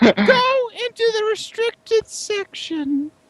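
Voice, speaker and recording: An extremely high, squeaky put-on character voice is used here. It moves at a very slow pace. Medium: actual play. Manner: curt, sarcastic.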